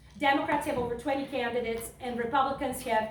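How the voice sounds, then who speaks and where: In a room with audible echo, a woman with a non-native accent speaks in a high voice. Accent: foreign. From Serbia. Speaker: political candidate. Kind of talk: campaign speech. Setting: fundraiser event with audience. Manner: impassioned.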